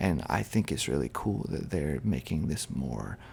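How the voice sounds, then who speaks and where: Whispering is all this man does, at a moderate pace. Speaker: ASMR creator. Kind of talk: casual talk to camera. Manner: soft-spoken.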